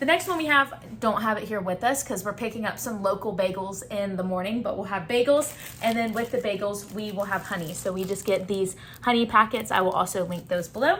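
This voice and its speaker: A woman's medium-pitched voice in a Southern US accent, fairly quick, with ordinary pitch variation and noticeable background noise. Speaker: travel vlogger. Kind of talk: casual gear and food walkthrough.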